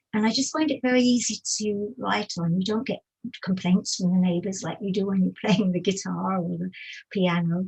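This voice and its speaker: A woman with a somewhat breathy voice talks at a moderate pace and medium pitch, with ordinary pitch variation. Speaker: musician and music writer. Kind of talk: casual interview. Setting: livestream video call.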